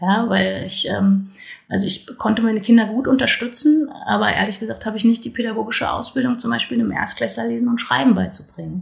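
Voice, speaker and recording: Noticeable background noise is present. Over it, a woman talks very fast. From northern Hesse, Germany. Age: 40s. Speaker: local politician and parent. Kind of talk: casual interview. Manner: hesitant, many fillers.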